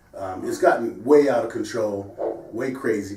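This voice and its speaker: The background noise is noticeable. Through it, a man talks in an American accent. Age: 60s. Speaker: sports show host. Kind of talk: casual discussion.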